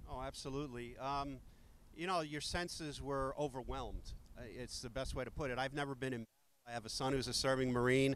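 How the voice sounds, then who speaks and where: A man with a New York accent speaks at a medium pitch. His pace is fairly quick and his intonation fairly even. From New York, Queens. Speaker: retired firefighter. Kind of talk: interview testimony.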